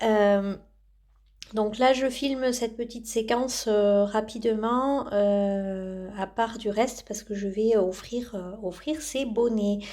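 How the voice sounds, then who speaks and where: Very slow speech from a woman, fairly high in pitch, dark and mellow in tone, with fairly even intonation. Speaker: knitting vlogger. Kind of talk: casual vlog chat. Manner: hesitant, many filler sounds.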